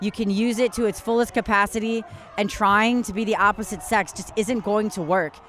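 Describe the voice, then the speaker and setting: A woman's fairly high voice, with ordinary rises and falls in pitch, moves at a moderate pace while noticeable background noise sounds behind her. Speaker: detransitioner speaking out. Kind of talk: interview testimony.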